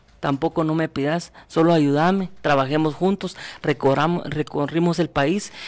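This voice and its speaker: On a very clean recording with a silent background, a man with an unremarkable speaking voice talks fairly slowly at a fairly high pitch with fairly even intonation. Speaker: political candidate. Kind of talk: radio interview.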